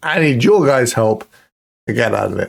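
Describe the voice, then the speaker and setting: A man's medium-pitched voice with a British accent and ordinary pitch variation. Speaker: football manager gaming youtuber. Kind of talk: gaming commentary. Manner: casual, conversational.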